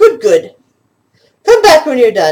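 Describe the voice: A man does a put-on character voice, gruff and extremely high-pitched for a man. His pitch swings very widely.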